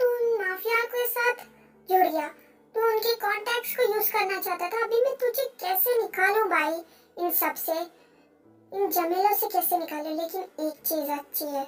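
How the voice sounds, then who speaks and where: Here is a put-on character voice with a squeaky sound. It moves along at a moderate pace. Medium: fan dub. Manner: warm, earnest.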